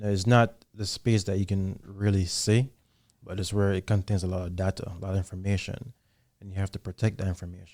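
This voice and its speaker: On a very clean, dry and close recording with no echo and a silent background, a man with a Jamaican accent speaks fairly quickly in a flat monotone, his tone dark and mellow and his pitch fairly low. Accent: Jamaican accent, still noticeable. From Jamaica, Kingston. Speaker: army soldier, intelligence analyst. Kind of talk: podcast interview.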